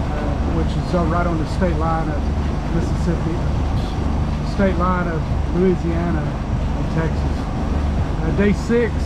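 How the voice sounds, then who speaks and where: Over loud background noise, a man speaks at a fairly slow pace with ordinary pitch variation. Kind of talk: casual vlog chat. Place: boat. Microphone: phone near.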